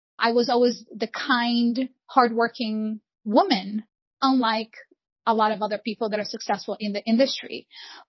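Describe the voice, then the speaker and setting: A woman with a Portuguese accent speaks at a moderate pace, her fairly high voice somewhat breathy and her intonation fairly even. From Brazil, Rio de Janeiro. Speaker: real estate broker. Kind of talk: interview.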